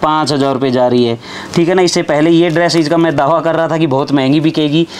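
Fairly quick and fairly even in intonation, a man's fairly high voice comes through with faint background noise.

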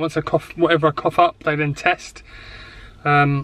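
A man's monotone, flat delivery in a dry sound with no echo. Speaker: vlogger. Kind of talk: casual vlog chat. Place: car. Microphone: phone near.

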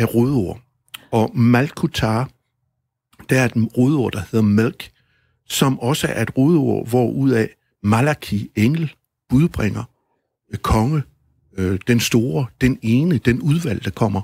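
Recorded very cleanly with a silent background and a dry, close sound free of echo, a man talks at a very slow pace and medium pitch with lively intonation and long, frequent pauses. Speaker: author and musician. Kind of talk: radio interview answer.

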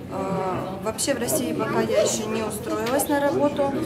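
A moderate pace over loud background noise. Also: woman. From Kazakhstan. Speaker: student, former soldier, new citizen. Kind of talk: street interview answers. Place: office. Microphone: camera far.

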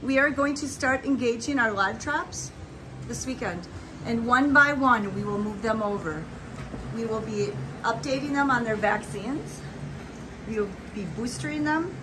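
A woman talks at a moderate pace with long, frequent pauses. Noticeable background noise sits behind her. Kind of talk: casual vlog tour narration. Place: garage. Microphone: phone near.

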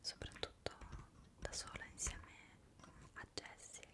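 Very slow whispering from a woman. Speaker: ASMR creator. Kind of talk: soft-spoken casual chat. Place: home room.

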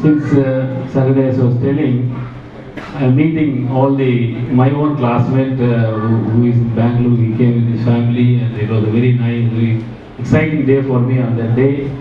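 In a room with audible echo and light background noise, a man talks in a flat monotone at very even loudness. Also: moderate pace. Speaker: guest. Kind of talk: informal speech. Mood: warm, proud, reminiscing. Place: hall. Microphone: pa.

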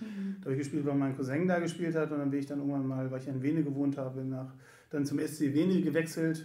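A man speaks fairly quickly with fairly high pitch, a dark, mellow tone and monotone, flat intonation. Audible room echo surrounds the voice. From Göttingen, Lower Saxony, Germany. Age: 40s. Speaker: sports club volunteer service manager. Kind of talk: casual interview. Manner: hesitant, many fillers.

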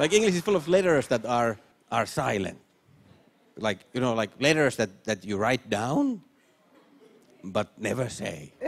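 A man talks fairly slowly, with long pauses coming often. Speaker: stand-up comedian. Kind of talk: stand-up comedy routine. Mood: playful, deadpan pauses. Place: stage. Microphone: handheld.

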